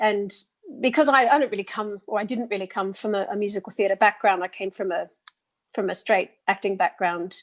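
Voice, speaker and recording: A woman speaks at a medium pitch and a fairly quick pace with a strong Australian accent. Her pitch varies in an ordinary way, and the sound is dry and close with no echo. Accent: thick Australian. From Australia (Sydney) and England (Oxford). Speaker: actor and singer. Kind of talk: interview. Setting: podcast interview. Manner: halting, with frequent repetitions.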